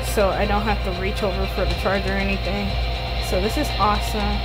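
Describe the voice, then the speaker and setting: Loud background noise surrounds a woman's voice. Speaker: gaming vlogger. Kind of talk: casual vlog chat. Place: home room.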